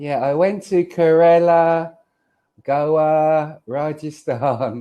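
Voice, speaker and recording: Speaking with a London accent, a man has a fairly high pitch. His pace is very slow. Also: ordinary pitch variation. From London, England. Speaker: online English tutor. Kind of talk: casual tutoring conversation. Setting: video call.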